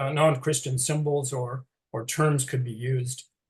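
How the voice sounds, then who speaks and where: A man speaks at a medium pitch in a somewhat breathy voice, his intonation fairly even. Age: 60s. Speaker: retired teacher. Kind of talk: interview presentation. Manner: halting.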